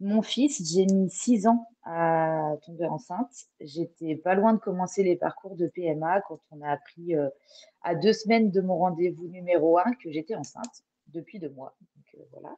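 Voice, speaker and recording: In a dry, close sound with no echo, a woman with a dark, mellow tone and fairly low pitch talks at a fairly slow pace, showing ordinary pitch variation and big swings in loudness. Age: 30s. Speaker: podcast guest, mother sharing birth story. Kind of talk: testimony.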